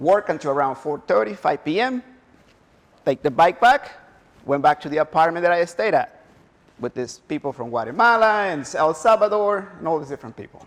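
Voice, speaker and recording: A man with a Spanish accent talks at a moderate pace. His fairly high pitch moves in very wide swings. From Honduras. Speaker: motivational speaker. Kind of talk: motivational talk. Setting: stage with audience.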